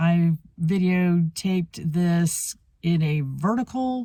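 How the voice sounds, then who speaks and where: A woman speaks somewhat breathily, her fairly low pitch varying in an ordinary way. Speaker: antiques reseller. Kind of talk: casual talk to camera. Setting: car. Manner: rambling.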